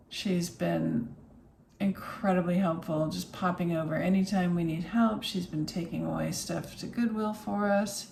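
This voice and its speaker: A soft-spoken woman with an American accent, fairly low pitch and ordinary pitch variation, at a moderate pace, with audible room echo and noticeable background noise. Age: 50s. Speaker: vlogger. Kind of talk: casual vlog. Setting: home office.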